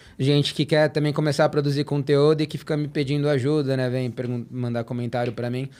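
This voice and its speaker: At a fairly quick pace with hardly any pauses, a man talks in a monotone, flat intonation at a fairly high pitch. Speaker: tennis content creator. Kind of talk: casual podcast chat.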